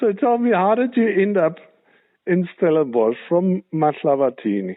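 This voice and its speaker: A man speaks in a high pitch with very wide pitch swings. His pace is moderate and his loudness very even. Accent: South African. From South Africa, northern KwaZulu-Natal. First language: German. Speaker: show host. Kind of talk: interview.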